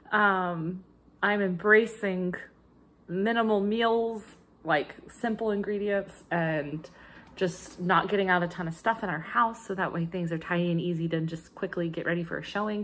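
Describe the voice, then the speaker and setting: A woman with an American accent, moderate pace and fairly even intonation. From United States. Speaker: crafting video creator; cross-stitch vlogger. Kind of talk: casual vlog chat. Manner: chatty with frequent fillers. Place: kitchen. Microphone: phone near.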